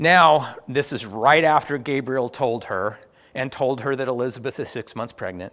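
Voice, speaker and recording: With a plain, everyday voice, a man speaks at a moderate pace. His pitch is fairly high. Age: 50s. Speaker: pastor. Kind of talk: sermon.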